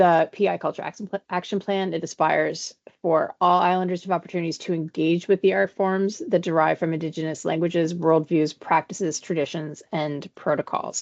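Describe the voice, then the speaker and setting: Recorded dry and close with no echo, a woman speaks fairly quickly at a fairly low pitch. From Canada, Prince Edward Island. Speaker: arts program development officer. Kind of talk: information session presentation. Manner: fast; animated.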